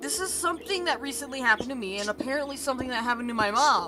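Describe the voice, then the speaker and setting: Over noticeable background noise, a woman speaks in a raised, projected voice. Her intonation is lively. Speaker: VTuber gaming streamer. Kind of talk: live gaming stream chat. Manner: animated.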